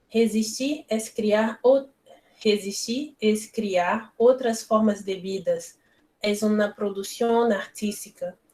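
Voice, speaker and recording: A woman with a Brazilian accent, fairly high in pitch, with fairly even intonation at a very slow pace. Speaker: philosophy lecturer. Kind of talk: reading aloud. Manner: halting.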